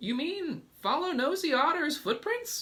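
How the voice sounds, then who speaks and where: Squeaky and extremely high-pitched, a man puts on a character voice at a fairly slow pace. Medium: read story. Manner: excitable.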